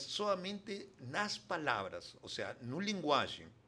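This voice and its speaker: A man with a Spanish accent speaks in a bright, sharp tone with lively intonation. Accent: Spanish-speaker accent in Portuguese. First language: Spanish (speaking Portuguese). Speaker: international development consultant. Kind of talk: interview conversation. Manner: halting.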